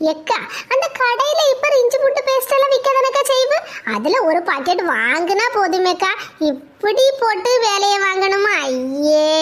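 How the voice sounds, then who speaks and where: In a cartoonish character voice, a woman speaks at an extremely high pitch with very wide pitch swings, a fairly slow pace and very even loudness over light background noise. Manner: blunt, argumentative.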